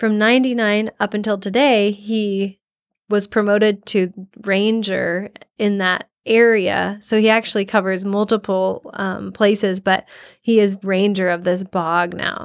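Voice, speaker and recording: With a US Midwestern accent, a woman speaks at a fairly slow pace in a monotone, flat intonation, on a very clean recording with a silent background. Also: medium pitch for a woman. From US Midwest, Iowa. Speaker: soil geographer. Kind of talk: interview storytelling.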